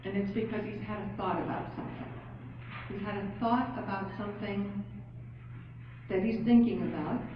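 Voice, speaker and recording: A woman's voice carries noticeable background noise along with audible room echo. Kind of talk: speech. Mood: warm, joking. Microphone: camera far.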